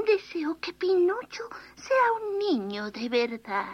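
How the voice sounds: Reading done in a natural voice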